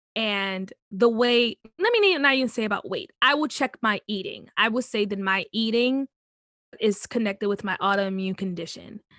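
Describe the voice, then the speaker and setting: A woman with a normal speaking voice talks at a moderate pace, her pitch fairly high with ordinary variation. The recording is very clean and dry, with a silent background and no echo. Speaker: musical theatre actor. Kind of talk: interview. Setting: podcast.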